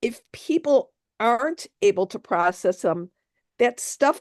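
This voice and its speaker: Recorded dry and close with no echo against a quiet background, a woman speaks at a fairly slow pace, her pitch swinging very widely. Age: 60s. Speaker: author. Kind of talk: interview.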